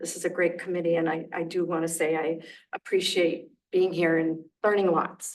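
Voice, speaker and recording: A woman's fairly low voice in a flat monotone. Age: old. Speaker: resident giving public comment. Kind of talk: public comment at a committee meeting. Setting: township committee meeting. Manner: fast.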